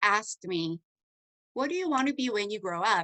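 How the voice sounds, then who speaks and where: A woman with a Korean accent speaks in a bright, sharp tone, her pitch swinging very widely. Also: dry, close sound with no echo. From South Korea. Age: 30s. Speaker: network marketing distributor. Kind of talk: testimony. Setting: video call.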